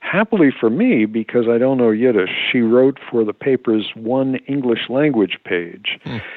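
A man with an ordinary speaking voice speaks at a fairly slow pace and a medium pitch. He shows ordinary pitch variation and hardly any pauses. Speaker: historian and author. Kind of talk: interview.

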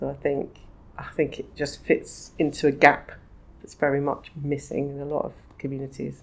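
Speaking at a moderate pace, a woman uses a very deep, low pitch with vocal fry and a monotone, flat intonation. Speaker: magazine publisher. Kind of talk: casual interview chat.

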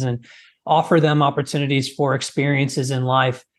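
A man with a US Midwestern accent at medium pitch, monotone and flat in intonation, at a moderate pace against a quiet background. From rural US Midwest. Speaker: fitness trainer and former physical therapist. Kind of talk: interview.

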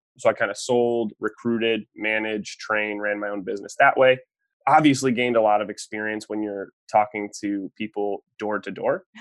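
A man with a fairly low pitch uses an ordinary speaking voice at a moderate pace, with fairly even intonation and a dry, close sound with no echo. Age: 20s. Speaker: author and sales coach. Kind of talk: interview.

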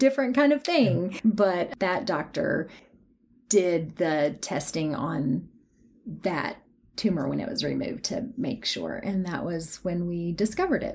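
With an East Tennessee accent, a woman speaks at a fairly slow pace, leaving long, frequent pauses while her pitch swings very widely. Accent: Southern US (East Tennessee). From East Tennessee (Athens). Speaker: teacher and patient guest. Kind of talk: interview.

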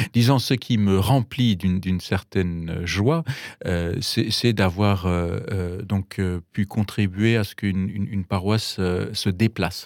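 In a German accent, a man talks at a very slow pace with a fairly low pitch and ordinary pitch variation. The sound is dry and close with no echo, a very clean recording with a silent background. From Germany, Bavaria. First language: German (speaking French). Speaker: pastor. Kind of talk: radio interview. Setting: radio studio. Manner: halting with many repetitions.

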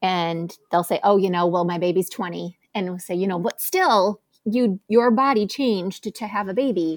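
A woman with a plain, everyday voice speaks at medium pitch, with ordinary pitch variation and a moderate pace, on a very clean recording with a silent background. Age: 40s. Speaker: physical therapist. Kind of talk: casual chat.

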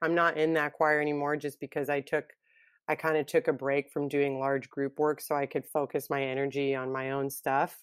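In a monotone, flat delivery, a woman speaks with a very deep, low pitch. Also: very clean recording, silent background. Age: 30s. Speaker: singer-songwriter. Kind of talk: interview chat. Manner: chatty, laughs often.

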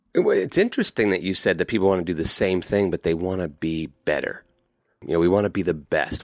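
A man rattles off his words very fast, recorded very cleanly against a silent background. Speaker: storytelling coach. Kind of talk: casual interview chat. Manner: loud, boisterous.

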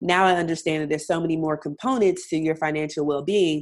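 A woman's very deep, low voice in an American accent, at a moderate pace with fairly even intonation. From US South, North Carolina. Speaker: English teacher and debt-free blogger. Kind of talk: interview. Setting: remote call.

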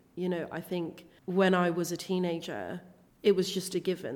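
In a very clean recording with a silent background, a woman with a southern English accent speaks at a fairly low pitch. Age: 20s. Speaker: body acceptance coach and plus size model. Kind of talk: interview.

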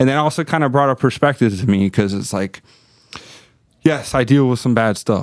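A man of medium pitch talks at a moderate pace in an American accent, his pitch varying in an ordinary way, with long, frequent pauses. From Miami, Florida. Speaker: police officer. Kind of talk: casual chat.

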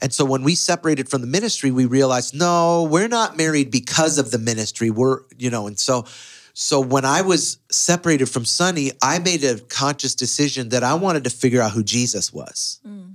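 An unremarkable speaking voice from a man with an American accent, fairly high in pitch, with lively intonation at a fairly quick pace, on a very clean recording with a silent background. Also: hardly any pauses. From US inner city. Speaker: pastor. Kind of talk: podcast interview conversation.

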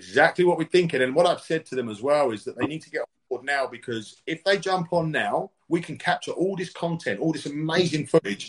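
Fairly high for a man, this voice has vocal fry and lively intonation at a fairly quick pace. His loudness swings widely. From UK. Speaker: fight promotion CEO and former fighter. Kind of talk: interview.

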